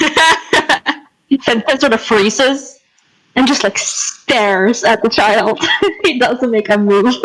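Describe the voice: Plain reading aloud, with ordinary pitch variation, is heard over a quiet background.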